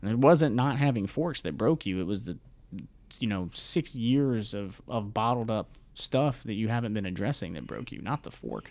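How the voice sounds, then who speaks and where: A man speaks in an unremarkable speaking voice at medium pitch. His intonation is lively and his pace moderate. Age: 20s. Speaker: mental health podcaster and military veteran. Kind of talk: casual interview.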